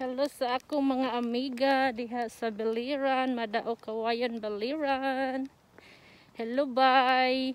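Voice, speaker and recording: A woman talks at a very slow pace with a high pitch. Her intonation is monotone and flat, in a dry sound with no echo. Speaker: vlogger. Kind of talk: casual vlog chat. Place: street. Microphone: phone near.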